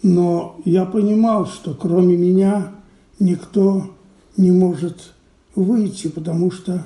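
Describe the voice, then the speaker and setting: A man talks at a very slow pace, with a high pitch and fairly even intonation. His tone is dark and mellow. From Belarus, Minsk. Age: 80s+. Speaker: Holocaust survivor. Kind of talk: testimony.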